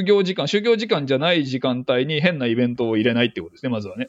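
Talking at a very fast pace, a man swings his pitch very widely up and down. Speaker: neuroscience team leader. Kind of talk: casual interview. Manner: halting with frequent fillers.

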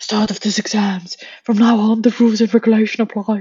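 A female-sounding voice does a put-on character voice at a fairly high pitch and a fairly quick pace. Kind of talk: formal, authoritative. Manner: formal, strict, announcing.

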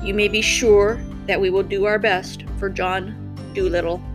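Loud music plays in the background as someone does a husky, put-on character voice at a middle pitch and a moderate pace. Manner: terse, formal.

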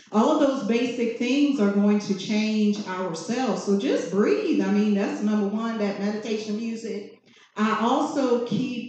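A woman's fairly high voice at a fairly slow pace, with ordinary pitch variation and noticeable background noise. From Virginia, US. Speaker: massage therapist and business owner. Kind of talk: panel discussion. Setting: live event with audience.

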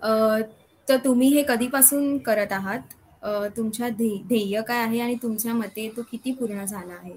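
This woman has a normal speaking voice with a fairly high pitch and ordinary pitch variation. Her loudness swings widely. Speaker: pharmacy student interviewer. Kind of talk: interview.

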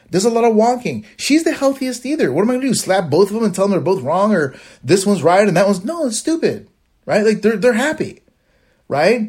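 Against a silent background in a very clean recording, a man with a high voice talks at a fairly quick clip, his tone animated and his intonation lively. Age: 40s. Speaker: diabetes lifestyle podcaster. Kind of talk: solo monologue, casual advice. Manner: fast, animated.

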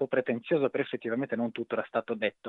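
A man talks with a slight Sardinian accent. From Sardinia, Cagliari. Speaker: author and magazine editor. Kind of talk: interview. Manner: halting, with repetitions.

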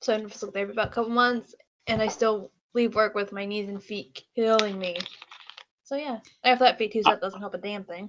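In an ordinary speaking voice, a woman with a fairly high pitch talks at a fairly quick pace, her intonation fairly even and her loudness swinging widely. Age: 20s. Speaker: student and grocery worker. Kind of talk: casual chat.

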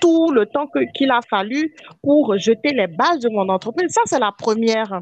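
At a moderate pace, a woman speaks with a high pitch and lively intonation, and the sound is dry and close with no echo. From Benin. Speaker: podcast co-host, life coach. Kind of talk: casual chat.

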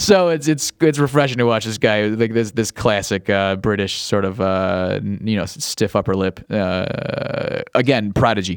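With an American accent and a fairly low pitch, a man speaks at a moderate pace with hardly any pauses and ordinary pitch variation over noticeable background noise. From US Midwest, Cleveland, Ohio. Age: 40s. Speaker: sports podcast host. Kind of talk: solo casual commentary. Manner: animated; halting.

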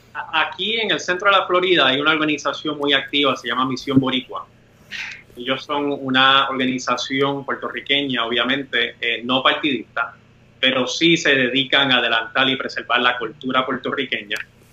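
Noticeable background noise accompanies a man with a fairly high pitch, speaking at a moderate pace with ordinary pitch variation. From Puerto Rico. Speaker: lawyer and independence activist. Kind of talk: interview conversation. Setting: video call.

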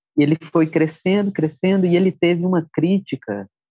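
A soft-spoken man with a dark, mellow tone speaks at a fairly slow pace in a dry, close sound with no echo. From Brasília, Brazil. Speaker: musician and songwriter. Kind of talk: interview conversation. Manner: calm, soft-spoken.

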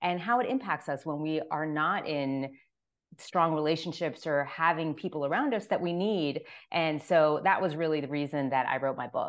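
At a moderate pace, a woman with an American accent speaks in a very deep, low pitch with ordinary pitch variation against a quiet background. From Florida, Miami. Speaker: author. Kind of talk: interview. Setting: video call.

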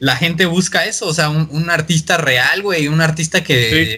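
A man talks in a bright, sharp tone. His pitch is fairly high. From Mexico. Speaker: electronic music producer. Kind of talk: casual chat.

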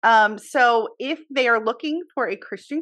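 A woman speaks at a fairly slow pace with a fairly high pitch. She has an unremarkable speaking voice, and the background is quiet. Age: 40s. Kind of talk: casual interview chat.

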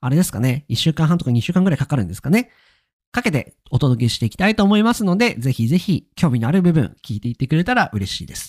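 Recorded very cleanly against a silent background, with a dry, close sound and no echo, a man speaks very fast in a fairly high, somewhat breathy voice with very wide pitch swings. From Akita, Japan. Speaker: podcast host. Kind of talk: solo podcast monologue.

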